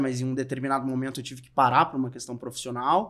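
A man's very fast speech in a monotone, flat intonation. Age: 40s. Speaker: financial advisor. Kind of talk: interview.

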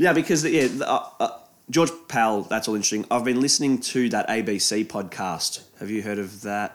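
In an Australian accent, a man of medium pitch talks at a moderate pace with ordinary pitch variation. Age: 20s. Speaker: podcast co-host. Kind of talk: casual chat. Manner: animated, laughing often.

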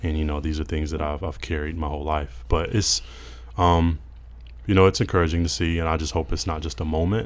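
A man's very deep, low voice carries vocal fry as he talks fairly quickly, his pitch varying in an ordinary way. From Mississippi, US South. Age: 20s. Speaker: church member, podcast guest. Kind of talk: casual discussion. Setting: studio.

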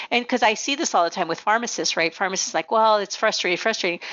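With a Spanish accent, a woman speaks with lively intonation. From Nogales, Arizona, US Southwest border. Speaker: pharmacy executive and association president. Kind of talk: interview, professional conversation.

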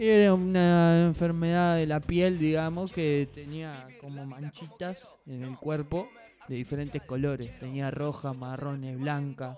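This man's fairly high-pitched voice is an ordinary speaking voice with ordinary pitch variation. He talks at a fairly slow pace, with big swings in loudness. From Uruguay, Colonia. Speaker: podcast co-host. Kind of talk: casual chat.

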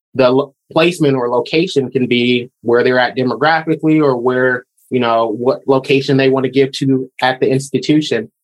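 Speaking with an American accent, a man with a medium-pitched voice keeps a moderate pace, fairly even intonation and very even loudness. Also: hardly any pauses. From Michigan. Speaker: fundraising director. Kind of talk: interview.

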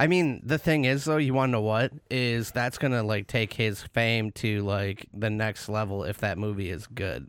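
In an unremarkable speaking voice with an American accent, a man talks at a moderate pace with ordinary pitch variation and hardly any pauses, on a very clean recording with a silent background. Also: fairly low pitch for a man. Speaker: podcast co-host. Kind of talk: casual chat. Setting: studio. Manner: laughs often, joking.

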